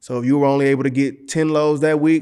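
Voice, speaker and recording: In an American accent, a man talks very fast in a fairly high voice with fairly even intonation, on a very clean recording with a silent background. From Texas, Galveston and Houston. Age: 30s. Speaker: trucking company owner. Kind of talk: casual interview.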